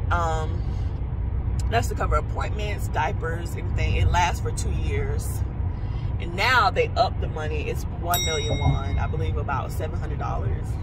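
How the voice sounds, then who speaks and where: Loud background noise runs behind speech delivered at a moderate pace. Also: woman. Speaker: pregnant vlogger. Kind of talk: casual vlog chat. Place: car.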